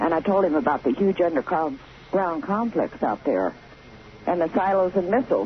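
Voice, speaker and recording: A woman with a fairly low pitch talks at a fairly quick pace with lively intonation, with noticeable background noise behind her. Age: 60s. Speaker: caller. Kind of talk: radio call-in, personal testimony. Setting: phone call.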